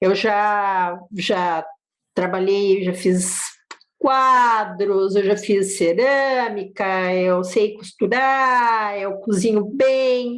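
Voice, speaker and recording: A woman speaks very slowly at a medium pitch, with ordinary pitch variation. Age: 60s. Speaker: poet. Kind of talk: interview. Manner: halting.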